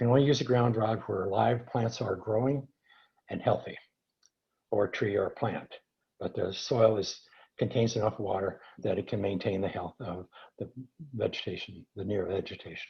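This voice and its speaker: Somewhat breathy, a man keeps a moderate pace and fairly even intonation, with long, frequent pauses. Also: medium pitch for a man. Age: 70s. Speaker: earthing product developer. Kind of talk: webinar Q&A. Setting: online webinar. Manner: halting, many fillers and restarts.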